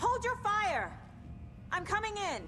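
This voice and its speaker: Against clear background noise, a woman does a put-on character voice that is squeaky and extremely high in pitch. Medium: video game. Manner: earnest, determined.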